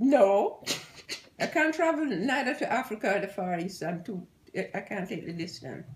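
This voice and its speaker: A woman at a moderate pace with very wide pitch swings. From Jamaica. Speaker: grandmother being interviewed. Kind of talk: casual talk to camera. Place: home room.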